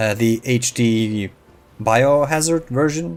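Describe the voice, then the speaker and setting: A man's medium-pitched voice, relaxed in tone, at a fairly slow pace with ordinary pitch variation and music in the background. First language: not English (English is third language). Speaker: gaming YouTuber. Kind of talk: casual gameplay commentary. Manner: halting, many fillers.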